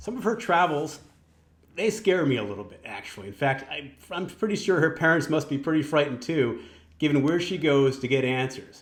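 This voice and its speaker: Using an ordinary speaking voice, a man talks at a fairly quick pace, fairly high in pitch, with lively intonation. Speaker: magazine editor in chief. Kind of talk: podcast interview host.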